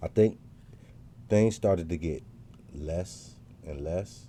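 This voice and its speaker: Very deep and low, the man's voice carries a dark, mellow tone and ordinary pitch variation. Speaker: podcast host telling his life story. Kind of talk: personal storytelling monologue. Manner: fast; casual, hesitant with fillers.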